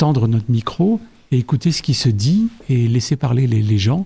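His voice has a dark, mellow tone with some breathiness. The man's intonation moves in a lively way. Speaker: cultural association volunteer. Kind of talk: radio interview.

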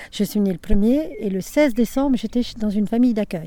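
The tone is dark and mellow, and the intonation is lively. The pace is moderate. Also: woman. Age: 70s. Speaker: grandmother, retired factory seamstress and childminder. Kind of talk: family interview, life story recollection.

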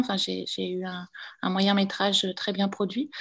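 A woman speaks at a fairly slow pace in a medium pitch with monotone, flat intonation. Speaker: filmmaker and visual artist. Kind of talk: panel discussion.

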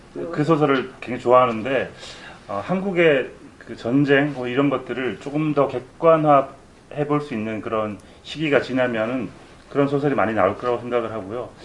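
Over noticeable background noise, a man with a medium pitch talks at a moderate pace with ordinary pitch variation and long, frequent pauses. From South Korea. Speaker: novelist. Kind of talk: interview answers at a book event. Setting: room with live audience, no sound system.

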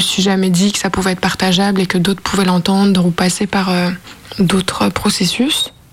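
A woman speaks at a medium pitch with fairly even intonation. Background noise is noticeable. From Lyon, France. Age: 20s. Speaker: interviewee, amateur actress. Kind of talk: personal testimony.

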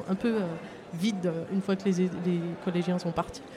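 A woman at medium pitch, with monotone, flat intonation and a moderate pace, against noticeable background noise. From France, Seine-et-Marne. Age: 50s. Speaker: municipal cleaning services worker, project proposer. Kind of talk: live radio interview. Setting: outdoor market, live broadcast. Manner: halting, many repetitions.

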